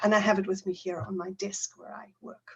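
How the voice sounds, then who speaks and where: A woman speaks in a South African accent. Her voice is somewhat breathy and fairly quick in pace. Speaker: teacher trainer. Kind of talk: conference talk.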